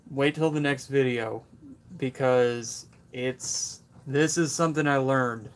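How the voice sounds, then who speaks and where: The speech is mumbled at a fairly slow pace, with fairly even intonation. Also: man, medium pitch for a man. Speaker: tool review youtuber. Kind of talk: live stream Q&A. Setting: workshop. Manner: mumbling; casual.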